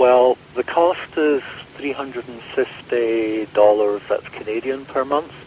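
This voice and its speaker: Over noticeable background noise, a man with a medium pitch speaks at a very slow pace, his pitch varying in an ordinary way and his loudness swinging widely. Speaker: Orthodox clergyman and mission leader. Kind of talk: radio interview.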